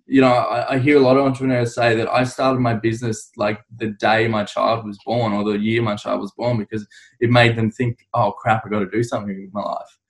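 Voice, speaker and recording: Medium in pitch, a man talks fairly quickly with hardly any pauses. His intonation is monotone and flat. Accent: Australian. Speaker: podcast host. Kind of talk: interview.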